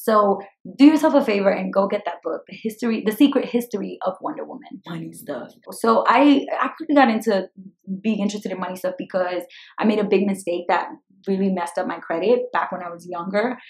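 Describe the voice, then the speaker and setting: An energetic, fairly quick delivery with an American accent, lively intonation and big swings in loudness. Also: woman, medium pitch for a woman. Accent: Brooklyn Dominican. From Brooklyn, New York. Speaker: personal finance YouTuber. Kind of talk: casual vlog Q&A. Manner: fast.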